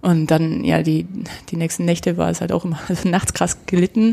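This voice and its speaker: In a normal speaking voice, a woman talks at a moderate pace with fairly low pitch and fairly even intonation. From Germany, Nuremberg (Franconia). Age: 30s. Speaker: kendo practitioner. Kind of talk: casual interview.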